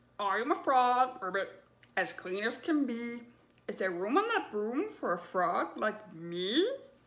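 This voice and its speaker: A woman puts on a croaky character voice, fairly high in pitch and delivered at a fairly slow pace. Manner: croaking, ribbiting.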